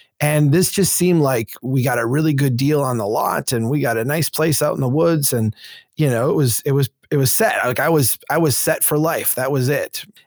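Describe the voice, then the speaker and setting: Speaking with an Upper Midwest accent, a man with a fairly high pitch keeps a moderate pace, ordinary pitch variation and very even loudness. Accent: Upper Midwest American. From central Minnesota. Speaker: urban planning advocate and former engineer. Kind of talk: interview conversation.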